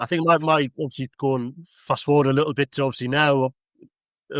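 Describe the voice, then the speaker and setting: This man has a North East English accent and a medium pitch with fairly even intonation. The sound is dry and close, with no echo. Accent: broad Mackem (Sunderland). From northern England, Sunderland. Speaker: local councillor. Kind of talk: casual chat.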